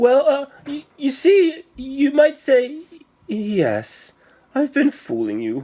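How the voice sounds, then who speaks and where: A man puts on a squeaky character voice at an extremely high pitch. He speaks very slowly. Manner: shy, stammering.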